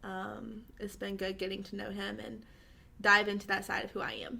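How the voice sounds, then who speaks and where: Bright, sharp tone with monotone, flat intonation. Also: woman. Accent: Southern US. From US South, Georgia. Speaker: social media influencer. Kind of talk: casual interview.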